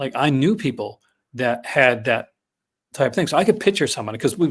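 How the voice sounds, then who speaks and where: A man with a Newfoundland accent, medium pitch, very wide pitch swings and a fairly quick pace, on a very clean recording with a silent background. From Newfoundland, Canada. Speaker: film podcast guest, physical media reviewer. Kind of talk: casual podcast chat.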